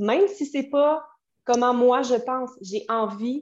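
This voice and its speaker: Her voice is high-pitched, with lively intonation. The woman speaks at a fairly slow pace. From Quebec City, Quebec. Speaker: tarot reader and astrologer. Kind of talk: casual interview chat. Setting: video call.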